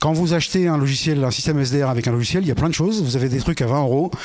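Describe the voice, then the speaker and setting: A man talks at a very fast pace with a fairly high pitch and ordinary pitch variation. Audible room echo surrounds his voice. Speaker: conference speaker on radio technology. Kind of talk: lecture.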